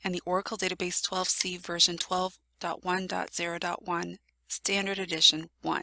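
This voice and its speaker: A woman's medium-pitched voice with a bright, sharp tone at a moderate pace, in a dry, close sound with no echo. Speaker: IT tutorial presenter. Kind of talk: software tutorial screencast narration.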